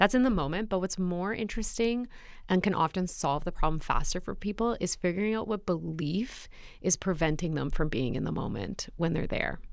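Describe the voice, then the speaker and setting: In a plain, everyday voice, a woman speaks at a medium pitch and fairly quick pace with lively intonation, in a very clean recording with a silent background. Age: 30s. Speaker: public speaking coach and sports broadcaster. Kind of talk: interview conversation. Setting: studio.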